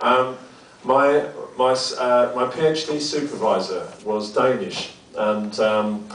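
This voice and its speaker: Noticeable background noise and audible room echo surround a man speaking in a strong British accent. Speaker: academic researcher. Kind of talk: lecture. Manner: halting, many fillers and repetitions.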